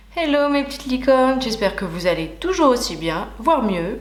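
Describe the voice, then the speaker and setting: A woman talks at a high pitch with very wide pitch swings and a moderate pace. Audible room echo surrounds her voice. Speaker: beauty youtuber. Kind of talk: makeup tutorial and product review. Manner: casual, chatty.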